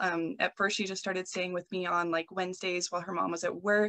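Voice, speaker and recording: This woman's voice has a bright, sharp tone. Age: 20s. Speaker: nursing student and kinship caregiver. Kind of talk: panel discussion. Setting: video call.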